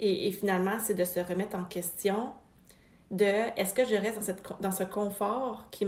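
A woman with a Quebec accent speaks at a fairly slow pace with fairly even intonation, amid noticeable background noise. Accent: Québécois French. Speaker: podcast host, business coach for therapists. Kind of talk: motivational monologue.

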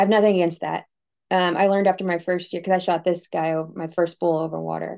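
Against a quiet background, a woman talks very fast at a fairly low pitch, her dark, mellow tone delivered in a monotone, flat intonation. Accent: American. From Texas, US South. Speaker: elk hunter. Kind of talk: casual interview chat.

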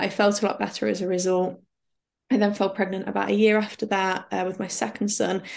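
A woman with a medium pitch talks at a fairly quick pace, her voice showing vocal fry. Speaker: patient advocate and author. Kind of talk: casual interview chat.

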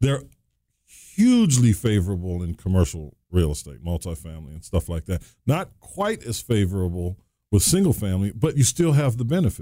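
A man with a dark, mellow tone and fairly low pitch speaks at a fairly quick pace with very wide pitch swings. The recording is very clean, with a silent background. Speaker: real estate trainer and podcast host. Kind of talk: casual chat. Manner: jokey, laughs often.

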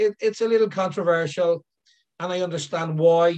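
A man with an Irish accent speaks at a fairly quick pace. His pitch is high, with ordinary variation. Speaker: elephant care consultant. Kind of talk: interview. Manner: halting, repeats words.

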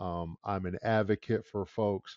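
This man has a plain, everyday voice with an American accent. His pitch is fairly low, with ordinary variation. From US Midwest, Detroit, Michigan. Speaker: business executive. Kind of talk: interview.

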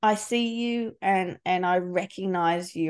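Against a quiet background, a woman with an Australian accent speaks at a medium pitch with ordinary pitch variation. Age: 40s. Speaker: podcast host and leadership coach. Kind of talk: interview.

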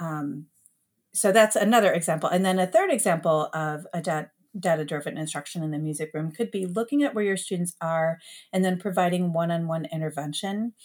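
Someone with an American accent speaks at a fairly quick pace with ordinary pitch variation. The recording is very clean, with a silent background. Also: woman, fairly low pitch for a woman. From US Midwest, Metro Detroit, Michigan. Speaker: elementary music teacher. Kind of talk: podcast interview.

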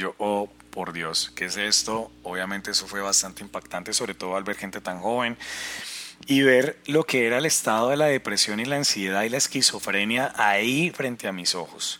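A man speaks in a plain, everyday voice at a fairly low pitch. His pace is moderate and his pitch variation ordinary. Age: 40s. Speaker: life coach podcaster. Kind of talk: personal testimony monologue.

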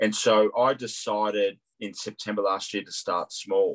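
A man with an Australian accent speaks at a fairly slow pace. The sound is dry and close with no echo. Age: 50s. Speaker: CFO and property development student. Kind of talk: interview.

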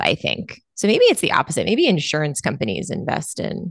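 A woman's fairly low voice at a moderate pace, with a dry, close sound, no echo and a quiet background. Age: 30s. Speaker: nurse anesthetist and weight loss coach. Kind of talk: casual chat.

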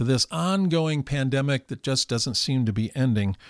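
On a very clean recording with a silent background and a dry, close sound with no echo, a man with an unremarkable speaking voice talks at a moderate pace, fairly high in pitch with lively intonation. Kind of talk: podcast interview.

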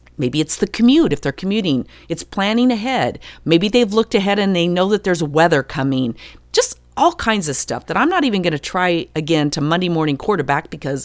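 A woman's lively intonation in an unremarkable speaking voice. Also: very clean recording, silent background. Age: 50s. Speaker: podcast host. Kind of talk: solo podcast monologue.

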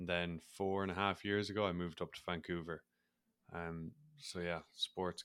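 Speaking with an Irish accent, a man uses a very deep, low pitch at a fairly quick pace. His intonation stays monotone and flat. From Ireland. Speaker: mindset coach and former rugby player. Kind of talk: casual interview.

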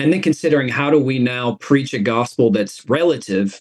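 A man with an American accent, an unremarkable speaking voice, ordinary pitch variation and a moderate pace. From US South, East Tennessee. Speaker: pastor. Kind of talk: interview.

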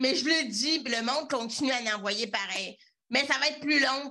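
Raised and projected, a woman's high-pitched voice comes across with a bright, sharp tone. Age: 30s. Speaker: web visibility entrepreneur. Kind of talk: interview. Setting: video call.

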